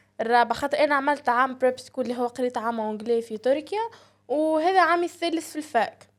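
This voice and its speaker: Very rapid speech from a woman, pitched high, her pitch moving in a normal way. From Tunisia. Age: 20s. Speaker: university student and content creator. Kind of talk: casual podcast interview.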